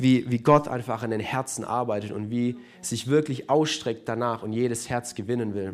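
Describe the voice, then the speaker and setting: A man with an ordinary speaking voice talks at a medium pitch and a moderate pace, with fairly even intonation. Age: 20s. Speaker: church youth leader. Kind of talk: sermon. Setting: church service with live audience and livestream.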